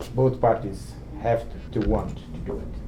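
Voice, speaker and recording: There is audible room echo. Through it, a man's voice is heard. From Eastern Europe (Romania/Ukraine), later Israel. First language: not English (multilingual; learned English as adult). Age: 80s+. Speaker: Holocaust survivor speaker. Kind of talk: talk to students, Q&A. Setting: lecture hall with student audience, livestreamed.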